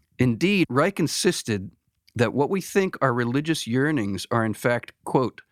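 On a very clean recording with a silent background and a dry, close sound with no echo, a man with a plain, everyday voice speaks at a medium pitch and fairly slow pace with lively intonation. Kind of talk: casual conversational podcast with theological discussion.

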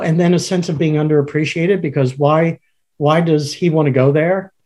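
Fairly high-pitched male speech in a plain, everyday voice, moderately paced, its pitch varying in an ordinary way. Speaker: podcast co-host, organizational consultant. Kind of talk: casual conversational podcast.

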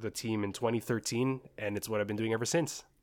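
A man speaks in a normal speaking voice with a Canadian accent, at a medium pitch with fairly even intonation. The recording is very clean, with a silent background. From Richmond, British Columbia, Canada (Filipino family). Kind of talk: podcast interview.

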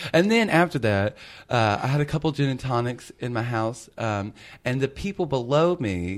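With a Southern US accent, a man talks at a moderate pace. His medium-pitched voice has lively intonation. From Memphis, Tennessee. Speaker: drag performer and podcast host. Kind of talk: casual chat.

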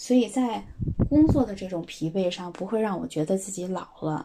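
A woman speaks at a medium pitch with a somewhat breathy voice and a dark, mellow tone. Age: 30s. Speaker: schoolteacher. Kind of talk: recorded voice submission answering questions.

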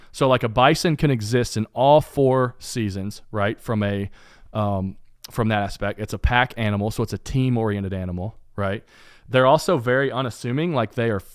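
In an Appalachian accent, a man talks at a moderate pace and medium pitch with ordinary pitch variation. The recording is very clean, with a silent background. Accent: Appalachian Southern US. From eastern Kentucky. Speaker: podcast host and sports designer. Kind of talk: casual interview. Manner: careful enunciation.

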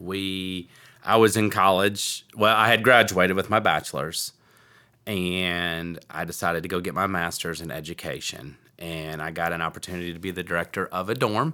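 In a very clean recording with a silent background, a man with a very deep, low voice and a bright, sharp tone speaks at a moderate pace with fairly even intonation and an American accent. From Michigan. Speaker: real estate investor and podcast co-host. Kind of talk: casual chat.

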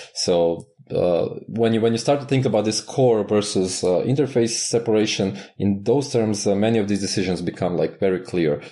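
A man with a Croatian accent speaks at a moderate pace with hardly any pauses. His tone is dark and mellow, and his loudness stays very even. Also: fairly low pitch for a man, ordinary pitch variation. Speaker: Elixir mentor and author. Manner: halting, frequent fillers.

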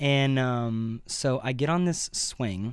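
A man with a normal speaking voice talks at a medium pitch, his pitch varying in an ordinary way. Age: 20s. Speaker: podcast host. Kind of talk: casual chat.

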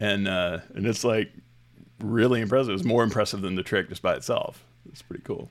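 A man talks fairly quickly in a plain, everyday voice, fairly low in pitch. His intonation stays fairly even while his loudness swings widely. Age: 40s. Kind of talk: casual chat. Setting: video call.

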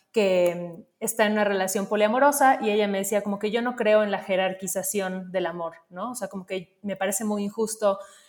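A woman with an unremarkable speaking voice talks at a medium pitch with fairly even intonation. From Mexico, Yucatán (Mérida). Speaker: creative, diversity advocate. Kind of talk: casual chat.

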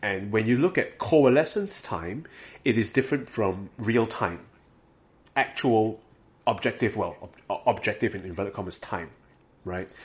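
Somewhat breathy, a man speaks at a moderate pace and medium pitch with lively intonation and long, frequent pauses, against a quiet background. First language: not English. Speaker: graduate student researcher. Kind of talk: casual chat.

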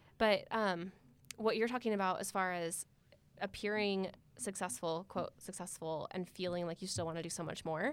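In an American accent, a woman with a normal speaking voice talks at a moderate pace and medium pitch with ordinary pitch variation, on a very clean recording with a silent background. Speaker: entrepreneur, studio owner. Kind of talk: casual chat. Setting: studio.

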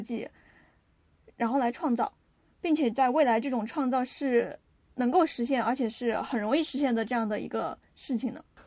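Her pitch is high for a woman, with ordinary variation. She speaks at a moderate pace. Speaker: podcast co-host. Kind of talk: casual chat.

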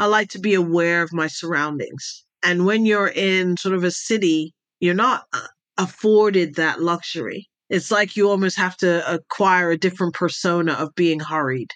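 With an American accent, a woman in an unremarkable speaking voice talks at medium pitch and a moderate pace, her intonation fairly even, against a quiet background. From Jamaica, raised Middle East, Europe, US. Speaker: intelligence advisor and speaker. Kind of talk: interview conversation.

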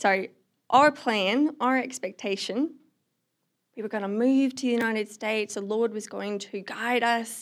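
In a slight Australian accent, a woman speaks at a moderate pace with a fairly high pitch and fairly even intonation. The recording is very clean, the background silent. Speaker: non-profit ministry worker. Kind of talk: testimony.

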